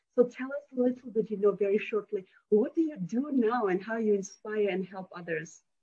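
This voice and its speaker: A woman with a fairly high pitch and a non-native accent speaks at a fairly quick pace in a somewhat breathy, dark, mellow tone with ordinary pitch variation. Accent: foreign. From foreign country. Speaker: interview host. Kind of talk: interview.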